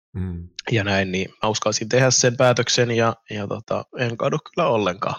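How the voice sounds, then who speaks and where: In a plain, everyday voice, a man talks at a medium pitch and a fairly slow pace with ordinary pitch variation. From Finland. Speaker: YouTuber. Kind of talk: casual chat.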